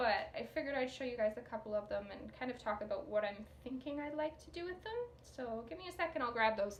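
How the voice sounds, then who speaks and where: A woman talks at a very fast pace in a high pitch with lively intonation. Noticeable background noise can be heard. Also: hardly any pauses. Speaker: knitting podcaster and pattern designer. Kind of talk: casual video podcast chat. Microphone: sound issues.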